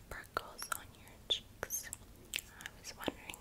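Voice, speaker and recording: Soft-spoken, the speaker delivers the words in a whisper. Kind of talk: soft-spoken roleplay to viewer. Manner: soft close intimate whisper.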